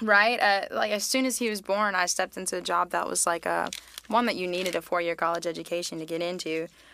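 Through noticeable background noise, a woman talks at a very fast pace with a medium pitch and ordinary pitch variation. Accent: American. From Charlotte, North Carolina. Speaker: musician. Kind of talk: casual chat.

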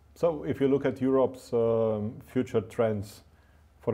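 Speaking with a Romanian accent, a man uses a medium pitch, fairly even intonation and a fairly slow pace. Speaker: podcast host. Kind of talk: interview. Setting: studio.

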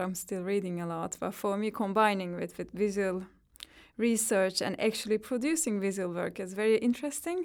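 A woman's medium-pitched voice in a Turkish accent, with ordinary pitch variation, on a very clean recording with a silent background. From Turkey. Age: 30s. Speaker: psychologist and visual artist. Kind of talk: interview.

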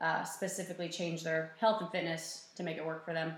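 The voice comes through with monotone, flat intonation, audible room echo and noticeable background noise. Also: woman. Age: 20s. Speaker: personal trainer. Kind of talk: casual chat. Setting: office.

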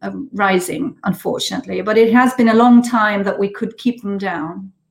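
Speaking with a German accent, a woman of medium pitch keeps a moderate pace and fairly even intonation. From Germany. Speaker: politician, member of European Parliament. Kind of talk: political interview. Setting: video call from home quarantine. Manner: halting.

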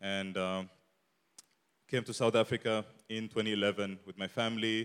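A man with an Eritrean accent, fairly low pitch and monotone, flat intonation. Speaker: church guest speaker. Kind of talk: testimony. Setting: church.

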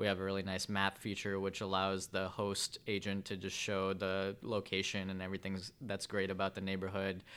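A man with a Chicago-area accent, at a fairly quick pace with hardly any pauses, in a monotone, flat intonation, on a very clean recording with a silent background. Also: fairly low pitch for a man. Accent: Chicago-area American English. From Chicago suburbs, Illinois (Vernon Hills). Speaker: startup co-founder and COO. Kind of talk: interview.

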